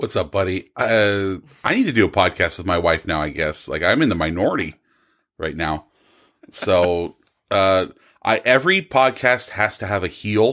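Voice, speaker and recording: At a moderate pace, a man with an American accent speaks in a very deep, low pitch. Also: ordinary pitch variation. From California. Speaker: podcast guest. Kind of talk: casual chat.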